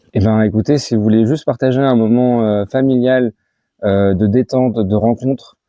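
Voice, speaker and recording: The speaker talks at a moderate pace with fairly even intonation and very even loudness. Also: man, medium pitch for a man. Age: 30s. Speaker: association treasurer. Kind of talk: interview. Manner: hesitant, many fillers.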